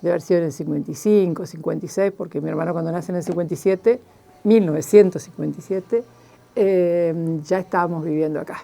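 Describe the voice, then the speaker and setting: A woman's fairly low voice at a very fast pace, fairly even in intonation, over noticeable background noise. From Argentina, Chubut (Esquel, Patagonia). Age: 70s. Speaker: journalist. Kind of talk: interview, life story. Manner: hesitant, many fillers.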